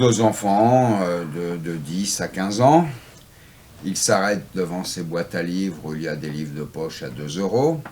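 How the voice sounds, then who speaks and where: Speaking at a fairly slow pace, a man uses a fairly low voice with lively intonation. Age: 60s. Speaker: antiquarian bookseller. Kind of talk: interview. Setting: in his bookshop.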